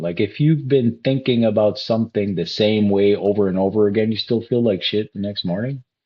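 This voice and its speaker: With an animated tone and lively intonation, a man speaks at a medium pitch. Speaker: life coach. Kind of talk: motivational talk.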